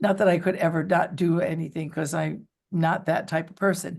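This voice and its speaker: A woman speaks with a New York accent. The background is quiet. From New York City area. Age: 60s. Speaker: real estate agent. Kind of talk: interview.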